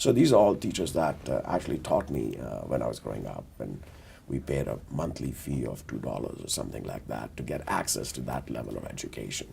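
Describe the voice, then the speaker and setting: A man speaks with lively intonation. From India (Delhi). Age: 60s. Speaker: business executive, board member. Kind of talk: interview, career story. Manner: measured, with many fillers.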